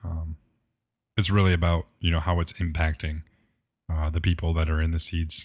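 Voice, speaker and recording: At a moderate pace, a man speaks in a very deep, low voice that is somewhat breathy and monotone, with flat intonation, in a very clean recording with a silent background. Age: 20s. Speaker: church tech and production minister. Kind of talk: interview conversation.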